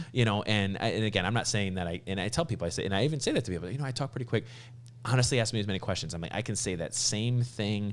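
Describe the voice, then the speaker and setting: Recorded very cleanly against a silent background, a man speaks in an animated tone with a fairly low pitch and ordinary pitch variation. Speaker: veterinary podcast host. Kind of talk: casual chat. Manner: fast.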